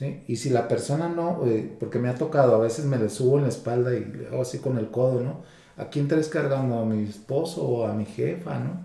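The voice has a dark, mellow, somewhat breathy tone and ordinary pitch variation. It moves at a fairly quick pace with audible room echo. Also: man, medium pitch for a man. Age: 50s. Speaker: psychologist. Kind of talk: interview.

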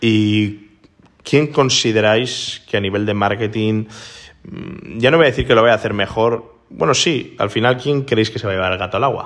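A man speaks at a medium pitch and a moderate pace, with ordinary pitch variation. His is an ordinary speaking voice. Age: 30s. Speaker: podcast host. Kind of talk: casual chat.

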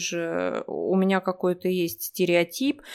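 A woman speaking at a very slow pace. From Russia, Omsk. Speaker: Russian language teacher. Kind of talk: casual interview. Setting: remote call.

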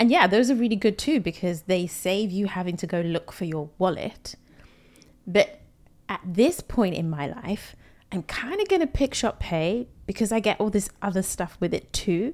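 At a middling rate, lively intonation from a woman's mid-range voice. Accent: London. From London, UK. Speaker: podcast host. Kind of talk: casual interview chat.

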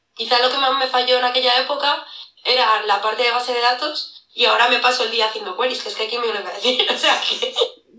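A woman with a high pitch talks at a fairly quick pace, with audible room echo around her. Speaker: security analyst and lecturer. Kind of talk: casual interview. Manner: animated.

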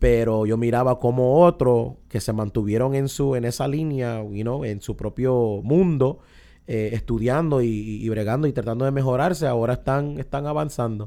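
A man speaks at a moderate pace in a dark, mellow tone, with ordinary pitch variation. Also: medium pitch for a man. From Irving, Texas, US. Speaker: pastor and former gang member. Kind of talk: testimony.

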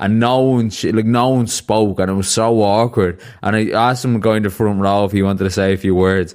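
A man talks at a fairly quick pace with fairly even intonation. His pitch sits fairly low. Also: very clean recording, silent background. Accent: Dublin. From Ireland; Dublin. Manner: radio-style podcast voice.

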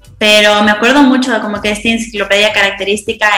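Very fast delivery with fairly even intonation over noticeable background noise. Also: woman. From Ecuador. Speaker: rural doctor. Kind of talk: casual chat.

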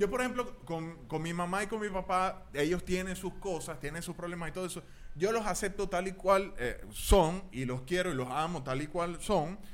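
A man talks at a moderate pace in a high voice with ordinary pitch variation. He hardly pauses, and room echo is audible. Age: 30s. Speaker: podcast co-host. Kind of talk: casual chat.

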